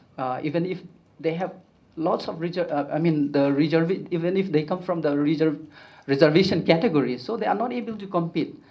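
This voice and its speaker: A high-pitched male voice is heard with audible room echo around it. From Northeast India, Kuki community. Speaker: education activist, conference speaker. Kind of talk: conference talk. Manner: slow; halting, many fillers.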